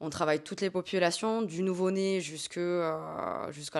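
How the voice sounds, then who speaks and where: A woman talks with a fairly low pitch. Her intonation stays fairly even. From southern France, Hérault. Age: 20s. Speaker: dietitian-nutritionist. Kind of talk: interview. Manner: hesitant, frequent fillers.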